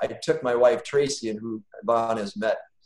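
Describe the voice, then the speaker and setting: A man with an American accent at a fairly slow pace, with audible room echo. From Wisconsin, US Midwest. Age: 50s. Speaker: business owner and guest speaker; guest. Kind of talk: personal testimony in online class. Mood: warm, reflective. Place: home room. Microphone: video call.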